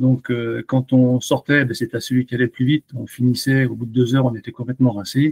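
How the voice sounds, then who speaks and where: Pitched at medium height, a man talks at a fairly quick pace. The sound is dry and close, with no echo. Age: 60s. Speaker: amateur cyclist, coaching client. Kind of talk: testimonial interview. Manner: hesitant, many fillers.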